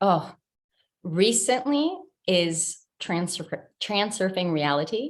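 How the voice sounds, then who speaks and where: A woman with an American accent speaks at a very slow pace in a medium pitch with lively intonation and long, frequent pauses. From Italy (Rome), then United States. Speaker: life coach, subconscious expert. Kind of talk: interview.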